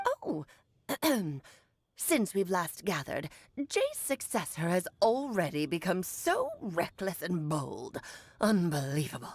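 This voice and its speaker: Using a put-on character voice, a woman speaks at a fairly slow pace and medium pitch, leaving long, frequent pauses. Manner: haughty, scolding.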